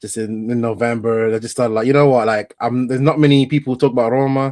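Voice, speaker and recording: A man with an English accent, medium-pitched and monotone with flat intonation, talking at a very fast pace against a quiet background. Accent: doesn't sound Italian, English-sounding. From northern Italy, Vicenza. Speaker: football content creator. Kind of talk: casual chat.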